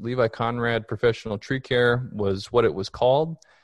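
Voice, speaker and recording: A plain, everyday voice speaks at a moderate pace with fairly even intonation against a quiet background. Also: man. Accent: American. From Minnesota, Minneapolis. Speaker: tree risk consultant. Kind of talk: casual chat.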